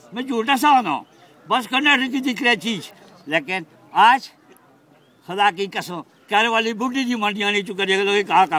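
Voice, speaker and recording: A man projects a raised, high-pitched voice with ordinary pitch variation and long, frequent pauses. Noticeable background noise runs underneath. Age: 70s. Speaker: elderly audience member speaking at a conference. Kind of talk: impassioned public speech. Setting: stage at a conference. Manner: animated; halting.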